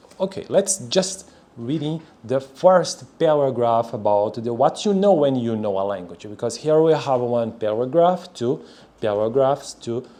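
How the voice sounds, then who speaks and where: A man with a Brazilian Portuguese accent speaks at a medium pitch. His pitch swings very widely, and his pace is fairly slow. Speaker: language learner, video creator. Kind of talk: reading aloud. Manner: halting.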